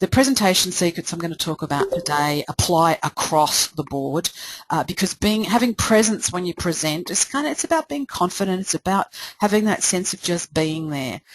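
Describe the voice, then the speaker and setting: A woman with an Australian accent at a fairly quick pace, fairly low in pitch, with lively intonation over noticeable background noise. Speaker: presentation coach. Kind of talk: webinar presentation. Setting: live webinar. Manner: fast.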